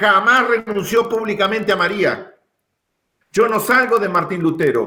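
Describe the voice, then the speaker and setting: A man's raised, projected voice, high-pitched with a bright, sharp tone, in a room with audible echo. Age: 60s. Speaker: pastor. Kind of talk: sermon. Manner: emphatic.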